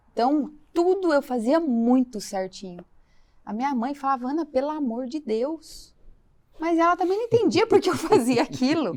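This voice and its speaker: A woman with a high voice speaks at a moderate speed, her pitch swinging very widely. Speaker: financial consultant, guest. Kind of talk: testimony.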